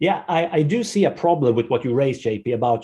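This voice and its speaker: Somewhat breathy and dark, mellow in tone, a man speaks at a medium pitch. He moves at a fairly quick pace with a non-native accent. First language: not English. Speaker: podcast panel guest. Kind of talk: panel discussion. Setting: group call.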